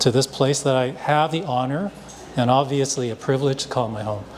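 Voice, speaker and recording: A Canadian accent over noticeable background noise. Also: man. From Hong Kong, raised in Vancouver from age three. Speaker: artist and panel moderator. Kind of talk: panel discussion introduction. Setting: live panel with audience at a festival. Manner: halting, many fillers.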